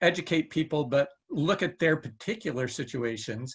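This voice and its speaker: A man talks in an ordinary speaking voice with ordinary pitch variation. He keeps a moderate pace. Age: 60s. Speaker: panelist. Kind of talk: online panel discussion.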